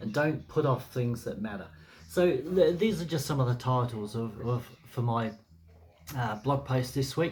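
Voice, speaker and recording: Somewhat breathy and spoken at a moderate pace, this voice carries lively intonation with an Australian accent. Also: man, medium pitch for a man. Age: 60s. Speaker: blogger. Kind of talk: casual talk to camera. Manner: relaxed, hesitant with fillers.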